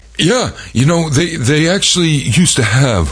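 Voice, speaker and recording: Noticeable background noise sits behind a man's voice. He talks at a fairly slow pace with very wide pitch swings. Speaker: podcast host. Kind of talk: casual banter. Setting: studio. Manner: joking, comedic.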